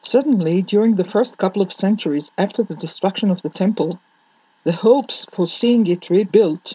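A woman with an Israeli accent speaks in a dark, mellow, somewhat breathy tone, her pitch varying in an ordinary way, the sound dry and close with no echo. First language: Hebrew. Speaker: Torah teacher. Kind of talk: lecture. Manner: formal.

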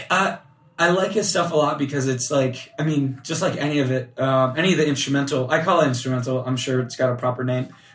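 Over noticeable background noise, a man with a fairly high pitch talks at a very fast pace with ordinary pitch variation. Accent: American. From US Florida. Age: 20s. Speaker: podcast host. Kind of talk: casual interview chat.

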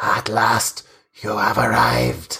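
This is a put-on character voice. It sounds raspy.

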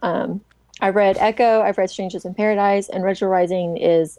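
Speaking at a moderate pace, a woman uses a medium pitch with ordinary variation and a dark, mellow tone. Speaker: doctoral student and comics researcher. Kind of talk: casual chat.

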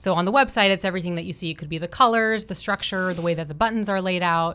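Here is an ordinary speaking voice with ordinary pitch variation. The recording is very clean, with a silent background. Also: woman. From Florida. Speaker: bootcamp general manager. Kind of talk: radio interview.

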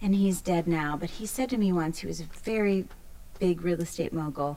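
At a moderate pace, a woman speaks in a dark, mellow tone with a fairly low pitch and ordinary pitch variation. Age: 40s. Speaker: podcast host and business consultant. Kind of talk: interview conversation. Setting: studio in a co-working hub.

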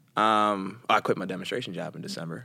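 A man speaks with an American accent and a bright, sharp tone. His intonation is fairly even, on a very clean recording with a silent background. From Philadelphia. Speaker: actor and fitness instructor. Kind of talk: casual interview.

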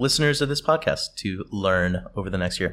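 Using an unremarkable speaking voice, a man keeps a moderate pace and shows ordinary pitch variation. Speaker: podcast host. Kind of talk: interviewer, intro narration.

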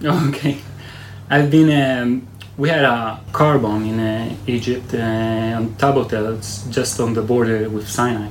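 A man at a medium pitch, talking at a fairly slow pace with fairly even intonation, with audible room echo and noticeable background noise. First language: Hebrew. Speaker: army search and rescue commander. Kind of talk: interview. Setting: military base headquarters.

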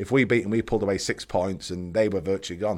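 Talking very fast with a Mancunian accent, a man comes through on a very clean recording with a silent background. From Manchester, northern England. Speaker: former professional footballer. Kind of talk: casual chat.

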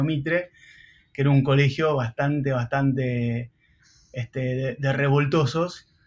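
Somewhat breathy and monotone, a man speaks at a moderate pace and medium pitch. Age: 40s. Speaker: entrepreneur and marketing professor. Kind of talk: casual interview.

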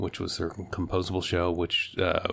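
Low-pitched male voice with vocal fry, a fairly bright tone, monotone, flat intonation and a moderate pace

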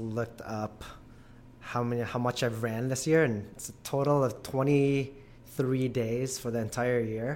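Fairly slow and fairly even in intonation, a man talks at a medium pitch in a normal speaking voice. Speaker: gym member, trail runner. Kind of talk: casual interview.

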